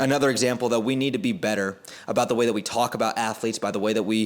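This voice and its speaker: With an unremarkable speaking voice, a man talks at a medium pitch with fairly even intonation. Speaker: basketball commentator and content creator. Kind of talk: unscripted commentary monologue.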